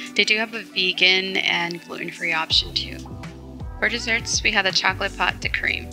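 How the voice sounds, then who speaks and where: A woman at a moderate pace, with fairly even intonation and music in the background. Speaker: vlogger narrating her trip. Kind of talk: casual vlog narration.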